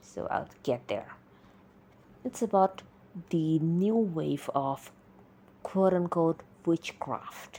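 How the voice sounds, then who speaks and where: A woman with a non-native accent speaks at a very slow pace, leaving long, frequent pauses. Her pitch is fairly low. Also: lively intonation. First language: not English. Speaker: solo podcaster. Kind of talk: casual monologue. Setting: alone on a mic. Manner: halting, with pauses.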